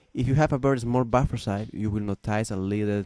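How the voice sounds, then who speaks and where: In a Peruvian accent, a man speaks with a dark, mellow tone, fairly low pitch and fairly even intonation. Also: dry, close sound with no echo. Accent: Peruvian Spanish accent, non-native English. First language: Spanish. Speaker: musician and music production student. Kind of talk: tutorial. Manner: halting, many fillers and restarts.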